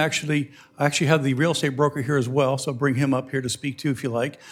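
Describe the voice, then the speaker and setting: A man talks at a very fast pace with a fairly high pitch. The recording is very clean, with a silent background. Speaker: airport director. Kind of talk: staff presentation at public meeting.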